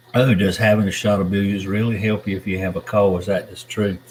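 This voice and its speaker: A man's fairly low voice with a Southern accent, monotone and flat, at a moderate pace. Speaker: YouTuber reading live chat. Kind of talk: live stream chat. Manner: casual, meandering.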